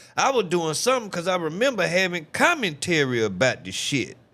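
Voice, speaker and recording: In an American accent, a man with vocal fry and a bright, sharp, animated tone swings very widely in pitch at a moderate pace on a very clean recording with a silent background. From US South. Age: 40s. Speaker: livestreamer. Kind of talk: casual chat. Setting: livestream.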